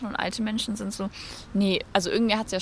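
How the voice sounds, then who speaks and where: A woman's medium-pitched, monotone voice with flat intonation at a fairly quick pace. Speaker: climate activist. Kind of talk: interview.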